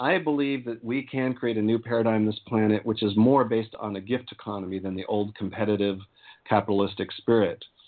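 The man has a normal speaking voice and a medium pitch. He talks at a fairly quick pace with ordinary pitch variation. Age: 50s. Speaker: spiritual activist and tantra teacher. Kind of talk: casual interview.

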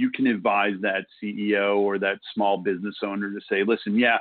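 A man with an American accent. His pitch sits fairly low. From New York City, Brooklyn. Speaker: HR consultant. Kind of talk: casual chat.

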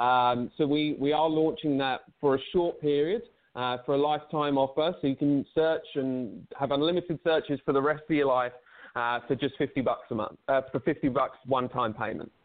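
Here a man with an English accent talks at a moderate pace. His loudness stays very even, with ordinary pitch variation. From England. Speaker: recruiting tech co-founder. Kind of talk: interview. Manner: halting.

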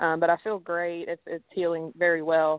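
This woman speaks at a fairly quick pace with a Southern US accent and a fairly low pitch. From Alabama, raised in Tennessee. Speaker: professional golfer. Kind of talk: radio interview. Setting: phone call.

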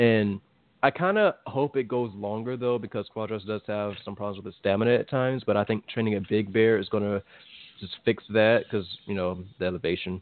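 A man speaks at a moderate pace with an American accent and a fairly low pitch. He has an unremarkable speaking voice with fairly even intonation. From Virginia, US East Coast. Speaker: boxing podcast co-host. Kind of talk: casual chat.

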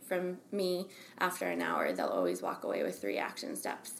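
With an American accent, a woman speaks at a moderate pace in a room with audible echo. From Albany, New York, US. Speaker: soul coach. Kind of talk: interview.

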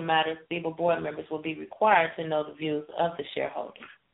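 A woman with a fairly low pitch and an American accent talks at a very fast pace. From Chicago. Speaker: radio co-host. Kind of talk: casual chat. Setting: internet radio show.

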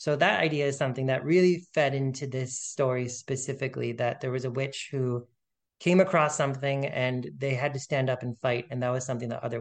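Fairly even intonation marks this unremarkable speaking voice. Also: man. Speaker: author, podcast guest.

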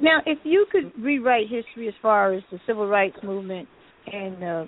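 A woman talks at a moderate pace with a fairly high pitch. She has a plain, everyday voice. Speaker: radio host. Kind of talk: radio talk show.

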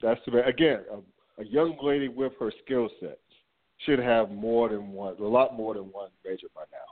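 Speaking at a moderate pace and medium pitch, a man with an unremarkable speaking voice shows ordinary pitch variation and big swings in loudness. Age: 40s. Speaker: sports podcast host. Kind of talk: casual sports talk.

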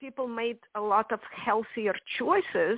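At a fairly slow pace, a woman speaks with fairly high pitch in a dry, close sound with no echo.

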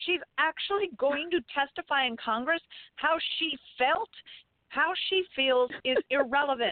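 The delivery is fairly slow, with very even loudness and ordinary pitch variation. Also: woman, high pitch for a woman. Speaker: military veteran and political commentator. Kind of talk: radio interview. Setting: phone call.

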